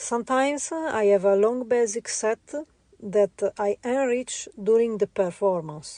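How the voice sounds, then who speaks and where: A woman's fairly high voice, dark and mellow in tone, at a fairly slow pace with ordinary pitch variation, very even loudness, and a dry, close sound with no echo. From Italy. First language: Italian. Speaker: visual artist. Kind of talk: interview. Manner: halting, many fillers.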